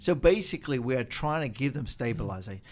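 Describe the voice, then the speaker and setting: With an Australian accent, a man talks at a fairly quick pace in a fairly high pitch, with ordinary pitch variation, on a very clean recording with a silent background. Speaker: charity executive. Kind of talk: interview.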